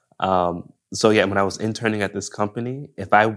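A man speaks with an American accent and a normal speaking voice. His intonation is fairly even, and the recording is very clean with a silent background. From Buffalo, New York. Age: 30s. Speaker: director and photographer. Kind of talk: casual interview chat.

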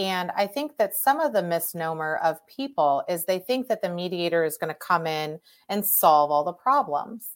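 A woman's fairly low, normal speaking voice with an American accent, lively intonation, a moderate pace and hardly any pauses, on a very clean recording with a silent background. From St. Louis, Missouri. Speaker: podcast host and divorce mediator. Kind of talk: interview conversation.

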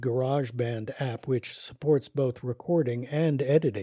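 A dark, mellow, somewhat breathy tone with ordinary pitch variation in a very clean recording against a silent background. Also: man. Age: 70s. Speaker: podcast host and educator on caregiving. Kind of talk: scripted narration.

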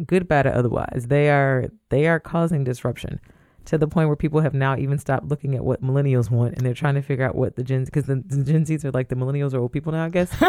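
A woman's very deep, low voice, dark and mellow in tone, at a very fast pace with very even loudness and fairly even intonation. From Toledo, Ohio (US Midwest). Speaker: lawyer and inclusion director. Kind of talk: podcast interview.

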